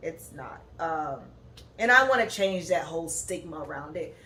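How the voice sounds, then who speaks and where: Noticeable background noise and audible room echo. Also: woman. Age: 20s. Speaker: podcast host, graduate student. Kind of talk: casual monologue podcast. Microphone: no proper microphone, built-in device mic.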